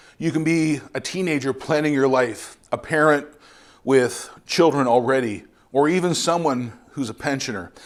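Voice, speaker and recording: An ordinary speaking voice, a man with a Canadian accent talks at a moderate pace and a fairly high pitch with ordinary pitch variation, on a very clean recording with a silent background. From Canada, Ontario. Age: 50s. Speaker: missionary preacher. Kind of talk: sermon.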